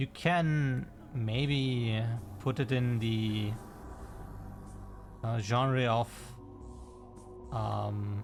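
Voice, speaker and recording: Over background music, a man with a non-native accent and medium pitch speaks at a very slow pace, leaving long, frequent pauses. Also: ordinary pitch variation. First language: not English. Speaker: game developer streamer. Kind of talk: live stream chat. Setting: live stream. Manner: casual, halting.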